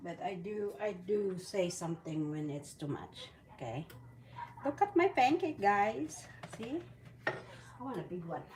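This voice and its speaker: Speaking at a fairly slow pace with long, frequent pauses, a woman with a Filipino accent has a medium pitch, very wide pitch swings and big swings in loudness, over noticeable background noise. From Philippines. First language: Bisaya. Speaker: vlogger, retired mother. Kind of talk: casual cooking vlog. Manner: chatty, rambling self-corrections.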